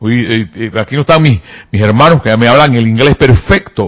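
A man speaks in a medium pitch at a moderate pace. His intonation is lively. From provinces of his country, hours from the capital. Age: 50s. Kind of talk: spiritual teaching talk. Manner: repetitive, emphatic.

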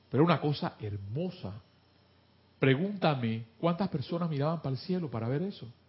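A man talks at a fairly quick pace with a fairly high pitch. His voice is somewhat breathy, and his intonation is lively. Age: 50s. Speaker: spiritual study group leader. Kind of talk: spiritual class talk.

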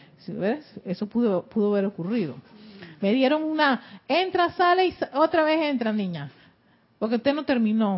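A woman speaks at a high pitch with very wide pitch swings. Her pace is moderate, broken by long, frequent pauses. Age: 40s. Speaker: spiritual teacher and radio host. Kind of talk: spiritual teaching. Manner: halting, frequent repetitions.

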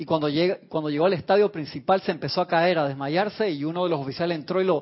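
Animated in tone, a man talks very fast in a high voice with ordinary pitch variation. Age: 40s. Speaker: spiritual teacher. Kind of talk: spiritual class. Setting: online radio and TV broadcast.

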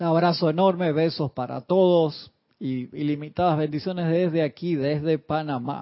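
Here is an ordinary speaking voice, moving at a moderate speed with fairly even intonation. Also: man, fairly high pitch for a man. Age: 40s. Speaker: spiritual teacher. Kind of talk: lecture.

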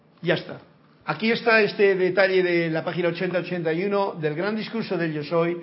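The speech shows ordinary pitch variation. Audible room echo surrounds it. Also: man. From rural area. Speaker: spiritual teacher. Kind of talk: lecture.

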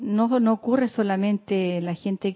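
A woman is speaking. Her pace is very slow. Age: 60s. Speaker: class participant. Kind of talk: casual discussion.

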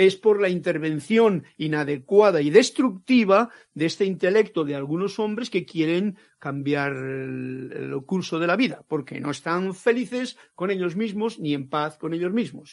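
A man's high-pitched voice at a fairly slow pace. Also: lively intonation, hardly any pauses. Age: 70s. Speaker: spiritual teacher. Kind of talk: lecture. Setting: online live stream.

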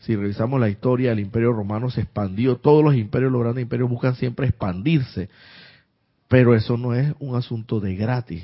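Medium-pitched man's voice with ordinary pitch variation. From Panama, Santiago de Veraguas. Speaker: spiritual teacher. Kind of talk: live-streamed spiritual class. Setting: live online stream. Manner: halting, with many fillers and repetitions.

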